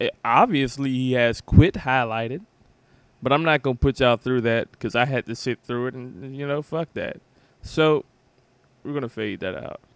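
A man with a medium pitch and an animated tone talks at a moderate pace with ordinary pitch variation. His loudness swings widely, and the sound is dry and close with no echo. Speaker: gaming YouTuber. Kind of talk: angry gaming rant, casual commentary over gameplay. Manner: loud, irritated, profane, animated.

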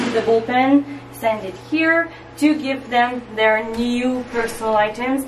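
A woman with a high pitch speaks at a fairly slow pace with fairly even intonation, amid audible room echo and light background noise. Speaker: tour guide. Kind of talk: guided tour explanation. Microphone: phone near.

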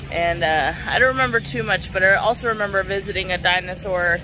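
Recorded dry with no echo, a woman talks at a moderate pace with ordinary pitch variation against noticeable background noise. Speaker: travel vlogger. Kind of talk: casual vlog chat. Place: garden. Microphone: phone near.

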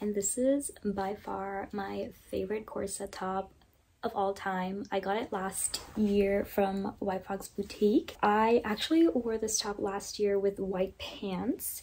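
Soft-spoken and very slow, a woman talks at a medium pitch with fairly even intonation. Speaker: fashion content creator. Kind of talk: casual talk to camera. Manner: soft, low volume.

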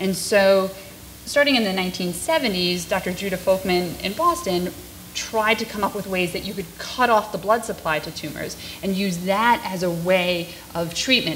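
A woman with an American accent and an ordinary speaking voice, medium in pitch with ordinary pitch variation, at a fairly slow pace over light background noise. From Long Island, New York; New York. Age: 30s. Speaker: pediatrician; public presenter. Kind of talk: lecture. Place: classroom. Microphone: podium.

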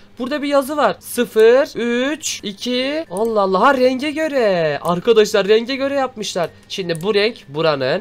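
A man speaks fairly slowly in an animated tone. His pitch swings very widely. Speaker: gaming YouTuber. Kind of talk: let's play commentary.

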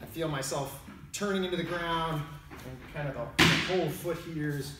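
Amid light background noise and audible room echo, a man speaks at a fairly quick pace with fairly even intonation. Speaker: martial arts instructor. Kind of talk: tutorial. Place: gym. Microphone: camera far.

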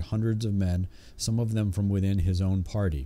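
A man speaks with a dark, mellow tone at a fairly low pitch. His intonation stays fairly even. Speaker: audiobook narrator. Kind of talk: audiobook narration of history. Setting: home recording with a cheap condenser microphone. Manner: steady, measured, formal reading pace with occasional self-corrections on stumbles. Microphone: studio mic.

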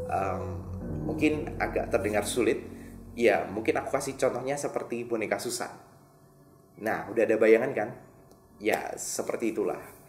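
A man at a moderate pace, with ordinary pitch variation and long, frequent pauses, audible room echo and faint music in the background. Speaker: video host. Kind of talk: casual presenter commentary. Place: studio.

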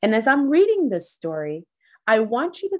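A woman's high voice with very wide pitch swings, a fairly slow pace and a quiet background. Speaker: teacher reading aloud. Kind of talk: story time read-aloud to children. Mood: warm, encouraging. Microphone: phone near.

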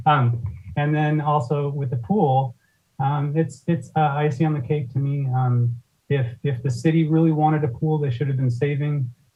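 Fairly high in pitch with fairly even intonation, a man talks at a moderate pace. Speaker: public commenter at council meeting. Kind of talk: public comment. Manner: halting, many fillers.

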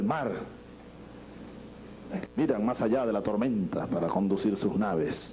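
A man talks at a fairly slow pace with lively intonation. Light background noise can be heard. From Venezuela. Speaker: president of Venezuela. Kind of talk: improvised political speech. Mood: solemn, emotional, rhetorical. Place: hall. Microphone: podium.

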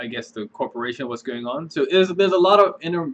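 His voice rises and falls with ordinary pitch variation as the man talks. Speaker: reaction video host. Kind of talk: casual vlog chat. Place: home room. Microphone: webcam.

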